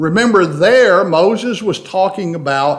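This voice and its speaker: With a slight Tennessee accent, a man with a high pitch speaks at a fairly slow pace with ordinary pitch variation, amid audible room echo and noticeable background noise. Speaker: Bible class teacher. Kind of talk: Bible study lecture.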